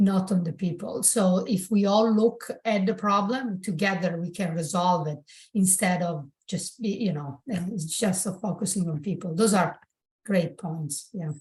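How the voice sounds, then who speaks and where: A woman with an Italian accent speaks at medium pitch and a moderate pace. Her voice is somewhat breathy, with ordinary pitch variation. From southern Italy, Bari. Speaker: architect and public-sector construction leader. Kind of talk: podcast interview.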